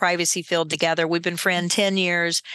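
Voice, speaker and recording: Against a quiet background, a woman with a medium pitch and a bright, sharp tone speaks at a fairly quick pace. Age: 50s. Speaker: privacy attorney and compliance executive. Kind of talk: podcast interview.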